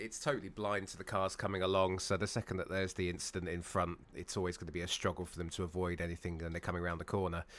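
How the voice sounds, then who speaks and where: A man with a British accent speaks at a very fast pace with hardly any pauses, in a very deep, low pitch and monotone, flat intonation, on a very clean recording with a silent background. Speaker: sim racing commentator. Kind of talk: live commentary.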